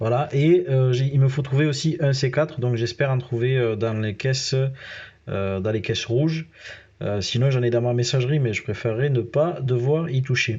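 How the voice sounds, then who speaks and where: A somewhat breathy voice with a southern French accent, ordinary pitch variation and a moderate pace. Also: man, medium pitch for a man. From southern France. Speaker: gaming youtuber. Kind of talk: gameplay commentary. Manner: casual, hesitant with many fillers.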